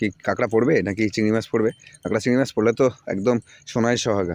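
A normal speaking voice from a man at a medium pitch, with a dry, close sound and no echo. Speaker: village vlogger. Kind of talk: vlog narration.

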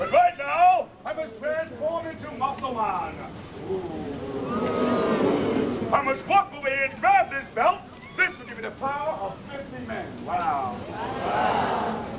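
Loud background noise surrounds a man speaking. His pace is very slow, with long, frequent pauses. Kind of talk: street show patter. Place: street.

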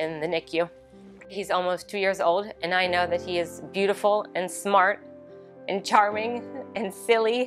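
Over clear music in the background, a woman with an American accent speaks with ordinary pitch variation. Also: moderate pace. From Baltimore, Maryland, USA. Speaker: mother of a hospital patient. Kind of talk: interview answer. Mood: emotional, grateful. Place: studio.

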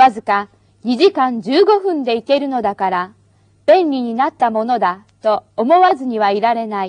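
A woman with a high pitch speaks at a moderate pace with very wide pitch swings. The sound is dry and close, with no echo. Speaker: Japanese language teacher. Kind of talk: reading aloud.

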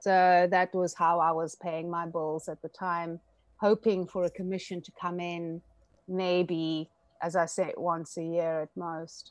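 Over a quiet background, a woman with a fairly low pitch speaks at a fairly slow pace in a monotone, flat intonation, with long, frequent pauses and a dry sound with no echo. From South Africa, Eastern Cape farm town. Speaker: stained glass artist. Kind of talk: interview. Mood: calm, reflective. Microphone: video call.

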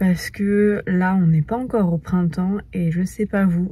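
The voice is dark and mellow, somewhat breathy, with fairly even intonation at a very slow pace, in a dry sound with no echo. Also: woman. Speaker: lifestyle vlogger. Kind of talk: casual vlog chat. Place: car. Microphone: phone near.

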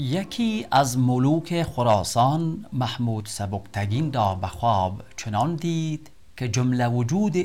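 A man speaks at a very slow pace with an Afghan accent, his voice somewhat breathy and medium in pitch. His pitch swings very widely. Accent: Dari (Afghan Persian). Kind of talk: poetry reading.

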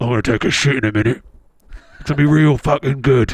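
A man puts on a raspy character voice at medium pitch. He delivers it at a fairly quick pace. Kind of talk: casual stream chat. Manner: crude, comedic.

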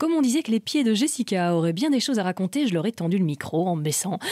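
A woman talks very fast at a medium pitch, with very wide pitch swings. The sound is dry and close, with no echo. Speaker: podcast host. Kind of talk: casual interview. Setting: event venue in Paris.

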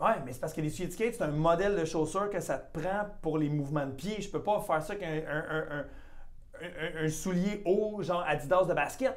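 A fairly quick delivery with noticeable noise behind it. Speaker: comedian and podcast host. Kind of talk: casual chat.

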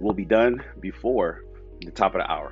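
A man's voice comes through with a dry sound and no echo. Faint music plays in the background. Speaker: fitness coach hosting live class. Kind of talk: casual livestream address to viewers. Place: home room. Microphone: earbuds.

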